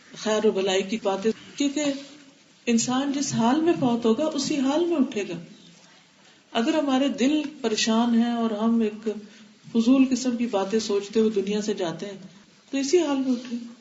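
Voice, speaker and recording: The speaker is a woman with a high pitch. Noticeable background noise can be heard. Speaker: Islamic scholar giving a religious lecture. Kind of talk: religious lecture.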